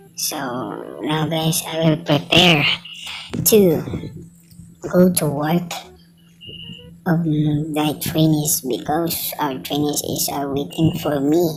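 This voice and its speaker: A woman with a Filipino accent speaks at a very slow pace with a very deep, low pitch, fairly even intonation and long, frequent pauses, amid noticeable background noise and audible room echo. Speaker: welding trainer and vlogger. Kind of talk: casual vlog. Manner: halting.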